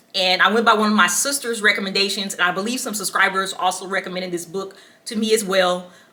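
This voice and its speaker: Against noticeable background noise, a woman talks very fast at a medium pitch with fairly even intonation. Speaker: book reviewer. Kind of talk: casual book review vlog. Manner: casual, filler-heavy with ums.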